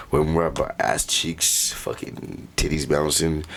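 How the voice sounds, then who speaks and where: A man speaks with an American accent. Background noise is noticeable. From Tukwila, Washington, US. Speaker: rapper. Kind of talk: casual chat.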